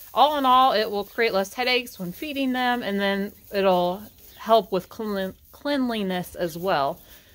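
A woman speaks at a fairly slow pace, her pitch varying in an ordinary way. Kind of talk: casual vlog chat. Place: farm machine. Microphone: phone near.

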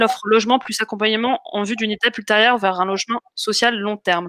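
A woman's fairly high voice at a fairly quick pace, with ordinary pitch variation and a dry, close sound with no echo. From France, Essonne. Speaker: crowdfunding campaign manager hosting live investor Q&A. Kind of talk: live webinar Q&A moderation. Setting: live online video stream. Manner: hesitant, many fillers.

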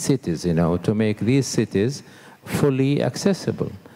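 A man with an Arabic accent talks with lively intonation in a dark, mellow tone. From Saudi Arabia. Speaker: architect and accessibility advocate; panelist. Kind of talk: panel discussion. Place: hall. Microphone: handheld.

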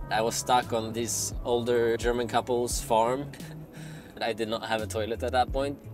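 A man talks at a moderate pace. The sound is dry with no echo, and clear music plays in the background. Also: ordinary pitch variation. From Sweden. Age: 20s. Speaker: creative director, van-life vlogger; van-life vlogger. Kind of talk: casual vlog talk to camera. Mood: amused, relaxed. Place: car.

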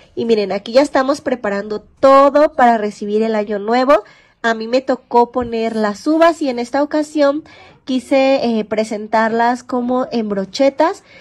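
A high-pitched woman's voice, warm and animated in tone, at a fairly slow pace with ordinary pitch variation. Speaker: lifestyle vlogger. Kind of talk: casual vlog narration. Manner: warm, animated.

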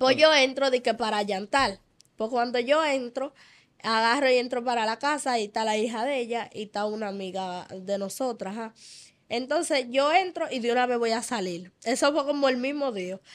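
Against a quiet background, a woman speaks in a high pitch. Her pace is moderate and her pitch variation ordinary. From Dominican Republic. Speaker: church member sharing testimony; interview guest. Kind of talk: testimony. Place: studio. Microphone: studio mic.

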